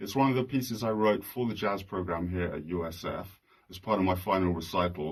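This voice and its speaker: With a British accent, a man talks at a fairly quick pace, his pitch varying in an ordinary way, on a very clean recording with a silent background. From London, England. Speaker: jazz radio host and composer. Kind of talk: concert announcement.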